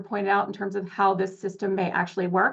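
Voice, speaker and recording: Against a quiet background, a woman talks at a fairly quick pace in a medium pitch, her intonation monotone and flat. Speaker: advocacy organization representative. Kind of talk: public comment at board meeting. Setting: public board meeting. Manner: fast.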